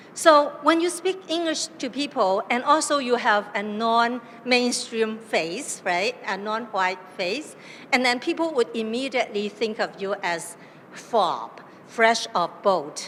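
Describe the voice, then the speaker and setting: A woman with a fairly high pitch and a Chinese accent speaks at a very slow pace, her pitch swinging very widely. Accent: Chinese accent in English and Mandarin. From southern China, Cantonese. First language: Cantonese. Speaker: academic panelist. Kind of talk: panel talk. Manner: hesitant, many fillers.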